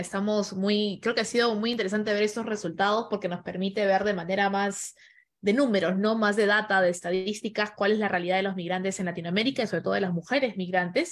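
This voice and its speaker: A woman speaks at a very fast pace with hardly any pauses. Her intonation stays fairly even. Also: medium pitch for a woman. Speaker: podcast host and event moderator. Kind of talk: online panel moderation. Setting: video call.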